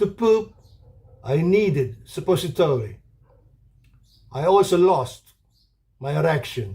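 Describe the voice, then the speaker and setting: Fairly high for a man, his voice has a dark, mellow tone and very wide pitch swings. He talks at a fairly slow pace with long, frequent pauses. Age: 70s. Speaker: cancer survivor. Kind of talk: testimony.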